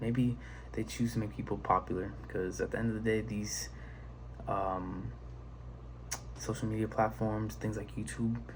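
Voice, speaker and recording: A soft-spoken man talks at a moderate pace with long, frequent pauses, and audible room echo surrounds him. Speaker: video creator. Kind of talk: casual monologue. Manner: halting.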